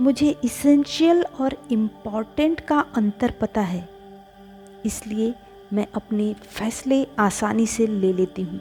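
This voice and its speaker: With music in the background, a woman speaks in a fairly high voice with lively intonation. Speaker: reiki and meditation guide. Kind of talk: affirmation reading.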